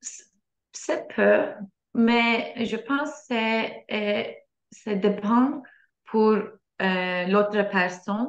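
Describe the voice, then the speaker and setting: The speech is very slow, with long, frequent pauses and ordinary pitch variation. Audible room echo is present. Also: woman, fairly high pitch for a woman. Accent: non-native. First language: Turkish (speaking French). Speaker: French learner. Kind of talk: oral exam practice. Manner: halting, many hesitations.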